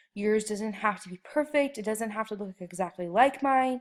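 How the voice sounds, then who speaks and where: A woman uses an ordinary speaking voice, fairly high in pitch, with lively intonation and a moderate pace. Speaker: art teacher. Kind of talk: tutorial.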